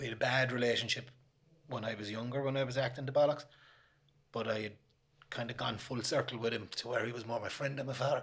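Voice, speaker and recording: Over noticeable background noise, a man in a Limerick accent speaks at a very fast pace with a medium pitch, monotone, flat intonation, and long, frequent pauses. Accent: Irish, Limerick. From Limerick, Ireland. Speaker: author, recovering gambling addict. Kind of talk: interview answer.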